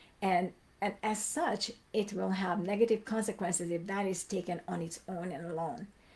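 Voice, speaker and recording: Fairly even intonation marks a woman's medium-pitched, somewhat breathy voice. She keeps a moderate pace. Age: 60s. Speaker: migraine educator answering group questions. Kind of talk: live Q&A stream. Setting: livestream. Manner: conversational, with many fillers.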